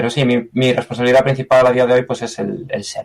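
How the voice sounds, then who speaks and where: A man speaks with a Galician accent. His pitch sits in the medium range. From Galicia, Spain. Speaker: software engineer. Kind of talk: interview. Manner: halting.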